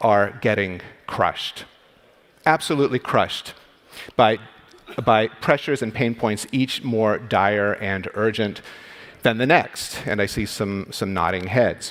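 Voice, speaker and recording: A man with an American accent speaks at medium pitch with ordinary pitch variation. It is an ordinary speaking voice at a fairly slow pace. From United States. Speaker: radiologist and medical executive. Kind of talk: conference talk. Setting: stage with audience.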